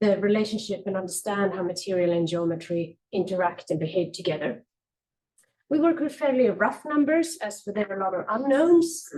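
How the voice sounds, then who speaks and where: A woman with a Swedish accent speaks fairly quickly in a somewhat breathy voice of medium pitch. Her tone is dark and mellow, and her pitch swings very widely. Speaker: architect presenting research. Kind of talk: conference presentation. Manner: halting, many fillers.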